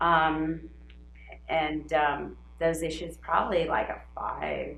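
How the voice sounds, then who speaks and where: Someone speaks at a very slow pace with audible room echo. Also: woman. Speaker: health consultation client. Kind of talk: casual conversation. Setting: at home.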